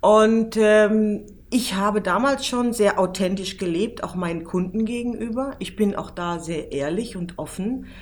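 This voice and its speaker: A woman talks fairly slowly. Her voice carries audible room echo. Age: 40s. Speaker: PR manager and travel journalist. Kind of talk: interview.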